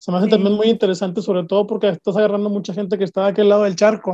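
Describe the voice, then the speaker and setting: A man with a Mexican accent speaks high in pitch with monotone, flat intonation and a dark, mellow tone, the sound dry and close with no echo. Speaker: podcast host. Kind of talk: interview conversation. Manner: halting, repeats words.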